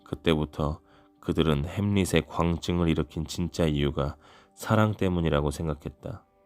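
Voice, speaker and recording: Music plays in the background as a man speaks at a very deep, low pitch with fairly even intonation. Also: moderate pace. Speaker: audiobook reader. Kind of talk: audiobook narration for sleep. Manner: soothing, calm.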